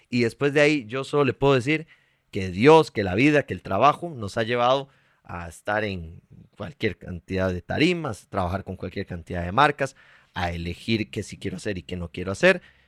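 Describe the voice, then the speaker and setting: A man's fairly low voice with very wide pitch swings at a moderate pace, in a dry, close sound with no echo on a very clean recording with a silent background. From Costa Rica, Heredia. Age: 30s. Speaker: actor and TV presenter. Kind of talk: interview.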